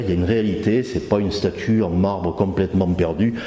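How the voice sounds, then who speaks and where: The man here speaks at a fairly slow pace. Background noise is noticeable. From southern France, Carcassonne / Narbonne area. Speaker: conference speaker giving testimony. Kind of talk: testimony. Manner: halting, many hesitations.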